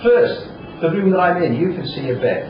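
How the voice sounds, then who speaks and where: With an English accent, a man talks at a fairly quick pace with very wide pitch swings, amid audible room echo and noticeable background noise. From England. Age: 60s. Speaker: surgery patient. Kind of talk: testimony. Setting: hospital room. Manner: casual.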